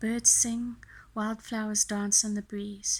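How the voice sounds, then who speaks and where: A somewhat breathy, fairly slow delivery with monotone, flat intonation. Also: woman, very clean recording, silent background. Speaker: tarot reader. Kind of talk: guided meditation reading.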